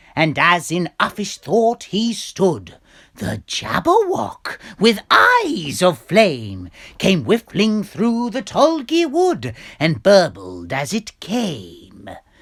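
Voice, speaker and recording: Using a put-on character voice, a man speaks at a very slow pace with a high pitch. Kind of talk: poetry reading.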